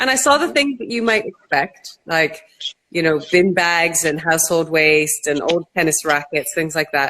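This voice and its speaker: A woman with a Canadian accent speaks at a moderate pace in a fairly low pitch. Her tone is bright and sharp, with lively intonation. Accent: Canadian, noticeable. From Canada. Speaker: entrepreneur, company co-founder. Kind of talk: interview.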